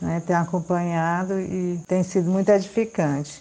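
Against a quiet background, a woman with a fairly low pitch talks at a fairly slow pace in a dark, mellow tone. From Piauí, Brazil. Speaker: listener. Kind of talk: recorded voice message.

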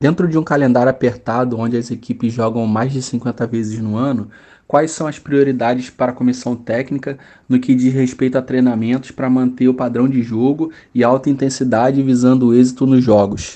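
Over a quiet background, a man speaks at a moderate pace with a medium pitch, a dark, mellow tone and monotone, flat intonation. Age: 30s. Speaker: physical education teacher. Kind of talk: interview.

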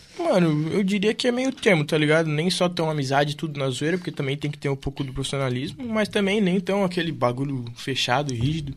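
With an ordinary speaking voice, a man talks at a fairly quick pace and a fairly high pitch, using lively intonation and hardly any pauses. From Camboriú, Santa Catarina, southern Brazil. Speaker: DJ and music producer. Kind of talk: casual chat.

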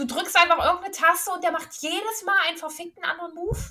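With a raised, projected voice, a woman speaks at an extremely high pitch in a bright, sharp tone with ordinary pitch variation. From eastern Germany. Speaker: gaming podcast co-host. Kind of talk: casual chat.

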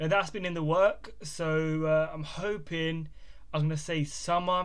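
With audible room echo, a man in a southern English accent speaks at a fairly high pitch with fairly even intonation. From England, Bedford. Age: 20s. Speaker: podcast host and clothing brand owner. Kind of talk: casual monologue. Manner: informal, hesitant with fillers.

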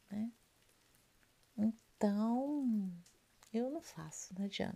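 This woman's dark, mellow tone is somewhat breathy, and her intonation is lively. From Rio de Janeiro, Brazil. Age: 40s. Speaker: ASMR youtuber and hairdresser. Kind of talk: ASMR casual talk. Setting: at home. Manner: soft-spoken.

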